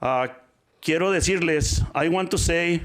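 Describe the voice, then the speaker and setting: A man's voice on a very clean recording against a silent background. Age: 60s. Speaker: public commenter, parent advocate. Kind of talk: public comment at school board meeting. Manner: loud, forceful tone.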